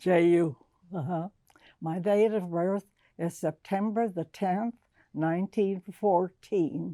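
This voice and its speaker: A woman's dark, mellow tone at medium pitch, very slow with long, frequent pauses and fairly even intonation, in a dry, close sound with no echo on a very clean recording with a silent background. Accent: American. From Texas, San Antonio. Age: 80s+. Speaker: interviewee telling life story. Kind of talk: oral history interview. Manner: halting.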